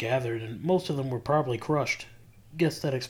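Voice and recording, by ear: The pitch varies in an ordinary way as this natural voice reads aloud.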